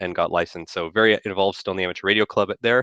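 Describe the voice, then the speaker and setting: A man's very deep, low voice in a bright, sharp tone, with fairly even intonation, in a dry, close sound with no echo and a quiet background. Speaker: electrical engineer giving a talk. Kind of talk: technical presentation. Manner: fast; hesitant with many fillers.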